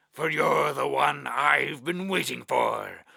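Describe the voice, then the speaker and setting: A man puts on a raspy character voice. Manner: menacing, threatening.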